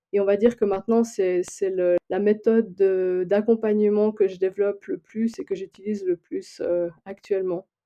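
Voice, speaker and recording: Pitched in the medium range, a woman with a slight Swiss French accent speaks at a moderate pace with fairly even intonation. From Switzerland. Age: 40s. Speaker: human design coach and librarian. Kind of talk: podcast interview. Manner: hesitant, many fillers.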